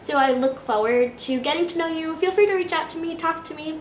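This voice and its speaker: There is noticeable background noise and audible room echo as a woman speaks with lively intonation. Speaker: vlogger. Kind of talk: casual vlog.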